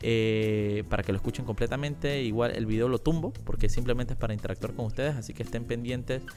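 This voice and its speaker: With audible room echo, a man of medium pitch races along at a very fast pace with hardly any pauses and ordinary pitch variation. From Panama, La Chorrera. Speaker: political commentary podcaster. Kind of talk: casual live-stream commentary. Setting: live video stream.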